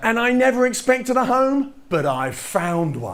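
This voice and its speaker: Man with an English accent and very wide pitch swings. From England. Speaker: touring fringe performer and poet. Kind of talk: spoken-word storytelling show.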